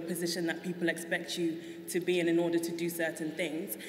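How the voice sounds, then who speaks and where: Over noticeable background noise and audible room echo, a woman with a London accent speaks at a moderate pace and a fairly low pitch. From South London, England. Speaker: guest on a talk show. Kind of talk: interview.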